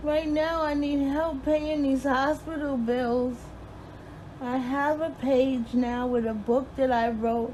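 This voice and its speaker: A woman's high voice with a dark, mellow tone, fairly even intonation and a very slow pace. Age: 50s. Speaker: registered nurse. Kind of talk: personal appeal to camera.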